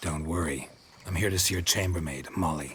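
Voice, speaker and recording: This put-on character voice is raspy and runs at a fairly quick pace. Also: man. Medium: video game. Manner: terse, dry.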